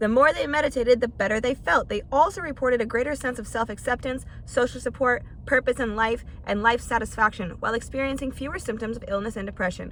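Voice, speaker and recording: Over noticeable background noise, the speech runs at a very fast pace with ordinary pitch variation. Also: woman, high pitch for a woman. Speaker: podcast host. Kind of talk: casual podcast monologue.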